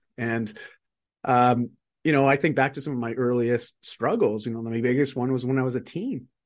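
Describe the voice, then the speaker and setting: A man with a Canadian accent talks at a moderate pace with medium pitch and fairly even intonation. He has a plain, everyday voice. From Canada. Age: 40s. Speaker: author and performance coach. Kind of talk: casual interview chat.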